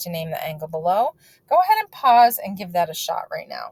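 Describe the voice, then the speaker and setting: A woman with an unremarkable speaking voice talks at a moderate pace and medium pitch. The sound is dry and close, with no echo. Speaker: math teacher. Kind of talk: lecture. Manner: casual.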